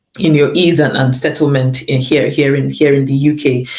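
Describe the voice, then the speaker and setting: The speaker's intonation is monotone and flat, with noticeable background noise and audible room echo. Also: woman. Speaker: lecturer and pastor. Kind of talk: interview. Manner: repetitive, halting.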